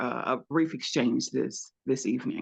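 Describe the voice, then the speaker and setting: A woman talks at a moderate pace with a slight Southern US accent. The background is quiet. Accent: slight Southern twang. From Louisiana. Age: 40s. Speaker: researcher. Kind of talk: storytelling. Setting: video call from home.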